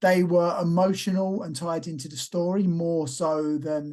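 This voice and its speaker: A man with a slight East London accent speaks in a dark, mellow tone at a fairly high pitch, with fairly even intonation. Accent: subtle East London. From East London, England. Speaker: professional wrestler and actor. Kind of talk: casual interview.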